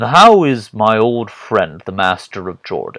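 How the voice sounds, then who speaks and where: A man puts on a character voice at a medium pitch. He speaks at a fairly slow pace with lively intonation. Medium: read story. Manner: commanding, probing.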